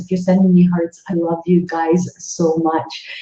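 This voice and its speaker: This woman speaks with a Canadian accent. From Northern Ontario, Canada. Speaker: psychic medium, livestream host. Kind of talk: casual livestream chat. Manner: animated, enthusiastic.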